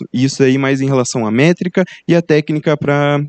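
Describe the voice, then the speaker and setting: A man talks in a Brazilian accent with a fairly high pitch, ordinary pitch variation and a moderate pace. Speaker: student researcher presenting a poster. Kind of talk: conference presentation. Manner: halting, many fillers.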